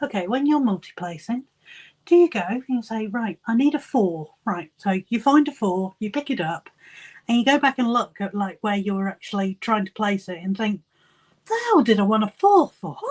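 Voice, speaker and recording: At a moderate pace, a woman speaks in a fairly high, somewhat breathy voice with lively intonation. The sound is dry and close, with no echo. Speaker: crafting youtuber live streamer. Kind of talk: casual live stream chat. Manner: giggly, hesitant with many ums.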